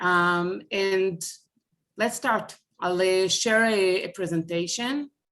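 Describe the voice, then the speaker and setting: A woman speaks very slowly in an Israeli accent, her pitch in the medium range. Her loudness stays very even, and her pitch varies in an ordinary way. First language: Hebrew. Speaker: speaker on family Holocaust history. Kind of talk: online presentation. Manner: halting.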